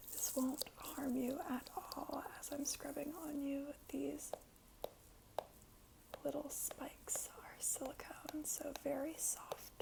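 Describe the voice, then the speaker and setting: A woman's very slow whispering amid noticeable background noise. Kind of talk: ASMR roleplay personal attention session. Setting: close-mic studio. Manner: soft-spoken, whispery, relaxing.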